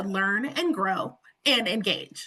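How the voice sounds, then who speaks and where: A woman's raised, projected voice. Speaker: webinar presenter. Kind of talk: webinar presentation. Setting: online webinar with interpreters.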